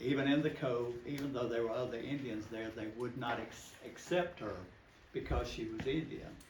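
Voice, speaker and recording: A man talks in a Southern US accent with fairly even intonation. Audible room echo surrounds his voice. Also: medium pitch for a man, moderate pace. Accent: Southern American. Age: 70s. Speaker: local storyteller. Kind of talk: oral history talk to a group.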